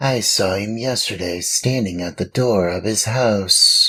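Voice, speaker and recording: A man's put-on character voice at a medium pitch. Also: fairly slow pace. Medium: read story. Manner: ingratiating, courteous.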